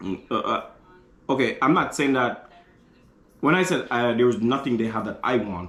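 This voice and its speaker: In a room with audible echo, a man speaks with lively intonation and long, frequent pauses. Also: medium pitch for a man, moderate pace. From Congo. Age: 30s. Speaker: fashion designer. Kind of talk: casual chat. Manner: halting.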